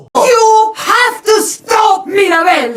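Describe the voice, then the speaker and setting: A woman does a cartoonish character voice at an extremely high pitch with ordinary pitch variation while faint music plays in the background. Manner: firm.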